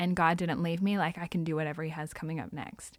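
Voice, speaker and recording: A woman's fairly low, monotone voice with flat intonation, in an Australian accent, on a very clean recording with a silent background. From Australia (Sydney). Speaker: Salvation Army member. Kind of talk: testimony. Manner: casual.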